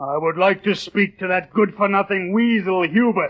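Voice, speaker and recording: A man puts on a character voice pitched high. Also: moderate pace. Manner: gruff, stern, insulting.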